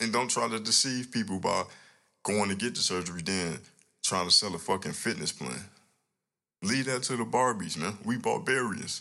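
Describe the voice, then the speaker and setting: A man with a fairly low pitch and a bright, sharp, animated tone speaks at a moderate pace with ordinary pitch variation and long, frequent pauses. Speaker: podcast host and music artist. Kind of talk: casual solo podcast monologue. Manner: animated, blunt, opinionated.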